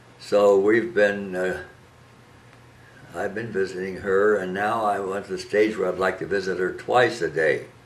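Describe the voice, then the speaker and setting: Audible room echo surrounds a man speaking at a moderate pace. His pitch is fairly low, with monotone, flat intonation. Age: 90s. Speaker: elderly husband and caregiver. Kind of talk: personal appeal monologue. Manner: halting.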